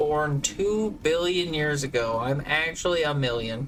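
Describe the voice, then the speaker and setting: Over noticeable background noise, a man with an American accent speaks at a fairly slow pace, his fairly high voice showing ordinary pitch variation. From US South, Georgia. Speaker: video game streamer. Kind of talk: casual chat during live game stream. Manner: animated.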